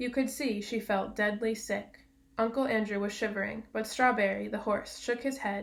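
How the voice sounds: Just a natural reading voice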